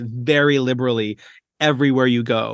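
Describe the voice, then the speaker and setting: Heard against a quiet background in a dry, close sound with no echo, a man speaks with a Maritime Canadian accent and ordinary pitch variation. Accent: Canadian (Maritimes). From Canada, rural Nova Scotia. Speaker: primary school teacher. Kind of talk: interview. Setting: video call.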